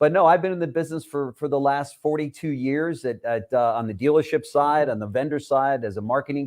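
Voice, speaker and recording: On a very clean recording with a silent background, a man speaks at a fairly quick pace. His pitch varies in an ordinary way. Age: 60s. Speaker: auto industry media executive. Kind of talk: interview. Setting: live video stream. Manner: hesitant, many fillers.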